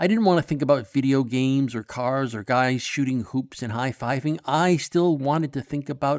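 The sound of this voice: The clip features an unforced reading voice with ordinary pitch variation.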